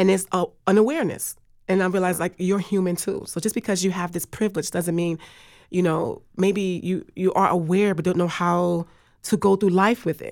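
A woman with an American accent, a normal speaking voice at medium pitch, moderate pace and fairly even intonation, in a very clean recording with a silent background. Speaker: interviewee. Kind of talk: recorded conversation.

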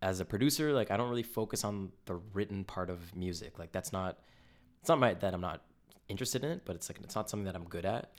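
With a Canadian accent, a man speaks at a very fast pace in a fairly low pitch with ordinary pitch variation. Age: 20s. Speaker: music producer. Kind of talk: casual chat.

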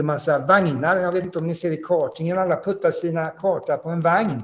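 The speaker's pitch is high for a man. He moves along at a fairly quick pace. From Sweden, Halland (Frillesås). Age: 50s. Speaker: former racing driver. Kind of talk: interview. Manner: halting.

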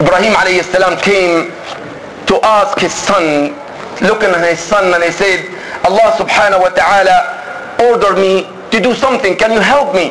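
A man with a high voice and ordinary pitch variation keeps a moderate tempo amid noticeable background noise. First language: Arabic. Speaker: imam. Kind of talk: sermon. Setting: mosque with congregation.

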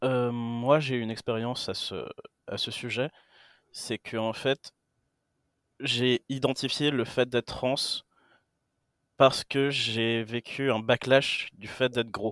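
Very slowly and with long, frequent pauses, a man speaks in a flat monotone at medium pitch, the recording very clean with a silent background and a dry, close sound free of echo. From Greece. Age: 20s. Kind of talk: casual chat.

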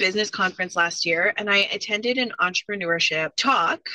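With a Canadian accent, a woman talks at a medium pitch with ordinary pitch variation and a bright, sharp tone, recorded dry and close with no echo. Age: 30s. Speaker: college student and business owner. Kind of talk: interview.

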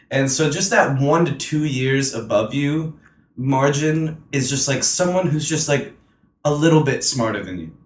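Somewhat breathy, a man talks at a fairly slow pace and fairly high pitch, with ordinary pitch variation. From North Carolina (Hampstead, near Wilmington). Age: young. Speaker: musician. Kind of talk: casual chat.

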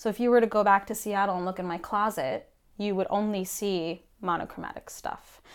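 A woman with an ordinary speaking voice talks at a fairly quick pace, her medium pitch kept to fairly even intonation. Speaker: performance artist. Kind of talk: casual chat.

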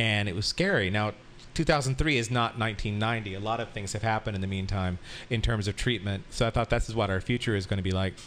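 A man's ordinary speaking voice, fairly low in pitch, at a fairly quick pace with ordinary pitch variation. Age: 50s. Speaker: sex educator and party host. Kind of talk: casual interview.

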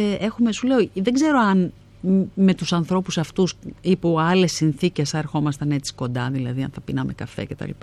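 Lively in intonation and fairly low in pitch, a woman speaks at a moderate pace against a quiet background. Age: 50s. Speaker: actress and theatre director. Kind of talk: interview.

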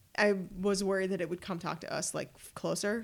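A woman's medium-pitched voice with vocal fry, monotone, flat intonation and a moderate pace. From Ottawa, Canada. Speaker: traveler. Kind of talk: casual chat.

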